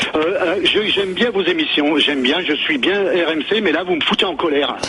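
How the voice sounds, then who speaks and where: At a moderate pace and with ordinary pitch variation, the voice comes through with audible room echo and noticeable background noise. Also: man, high pitch for a man. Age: 60s. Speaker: radio caller. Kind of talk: heated debate. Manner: halting.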